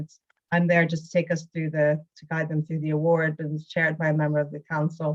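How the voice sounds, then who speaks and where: A woman speaks at a fairly quick pace, her fairly low voice somewhat breathy. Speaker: arts funding officer. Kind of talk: information session presentation. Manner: fast.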